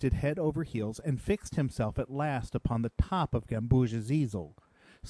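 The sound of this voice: Ordinary pitch variation marks the unforced reading voice.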